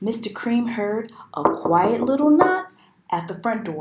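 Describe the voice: Lively intonation throughout plain reading aloud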